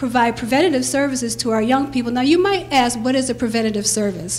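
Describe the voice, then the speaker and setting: Over light background noise, a woman speaks at a fairly high pitch with ordinary pitch variation. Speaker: youth bureau director. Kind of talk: rally speech. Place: hall. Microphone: handheld.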